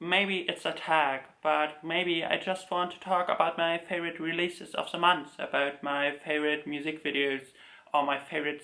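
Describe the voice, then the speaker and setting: At a moderate pace, a man with a slight German accent talks in a fairly high pitch with monotone, flat intonation. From Germany. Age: 20s. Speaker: K-pop collector YouTuber. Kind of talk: casual talk video to camera.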